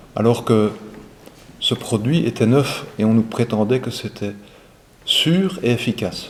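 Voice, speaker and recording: At a very slow pace with long, frequent pauses, a man talks at a medium pitch and ordinary pitch variation. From Belgium, Brussels. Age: 60s. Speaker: retired airline pilot. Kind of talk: testimony.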